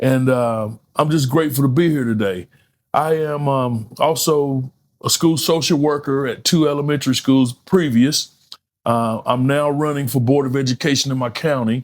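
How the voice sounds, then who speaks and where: A man speaks in a fairly high pitch with an American accent. His pace is moderate and his intonation fairly even. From North Carolina (Thomasville). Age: 60s. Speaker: author and peer support specialist. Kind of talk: podcast interview. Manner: hesitant, many fillers.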